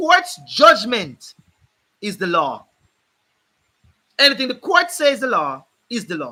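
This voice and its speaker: With a Jamaican accent, a man speaks in an extremely high, bright, sharp voice, raised and projected, animated in tone, with very wide pitch swings at a fairly slow pace. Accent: Jamaican English with patois features. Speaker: legal commentator, channel host. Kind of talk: live stream talk on law. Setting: live stream. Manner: animated, emphatic.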